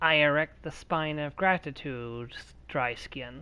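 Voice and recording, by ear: A raspy, put-on character voice at a low-to-middle pitch moves at a fairly slow pace over a quiet background.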